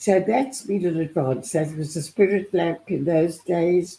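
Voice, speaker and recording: A woman speaks at a very slow pace, her fairly low voice dark and mellow in tone. She sounds somewhat breathy, with ordinary pitch variation. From South Africa. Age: 80s+. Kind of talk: interview answer.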